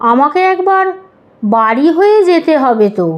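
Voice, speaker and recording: A woman uses a put-on character voice with a high pitch. She speaks fairly slowly. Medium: read story. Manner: excitable, flustered.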